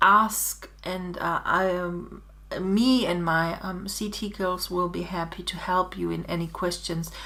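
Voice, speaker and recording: Speaking at a very slow pace, a woman has a bright, sharp tone. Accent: German. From Germany. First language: German. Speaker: digital scrapbooking designer. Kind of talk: tutorial. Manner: halting.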